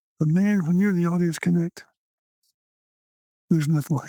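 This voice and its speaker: A man speaks with a Texan accent. His pitch is high. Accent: Texan American. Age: 70s. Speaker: stage performer and writer. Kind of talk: interview conversation. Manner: animated.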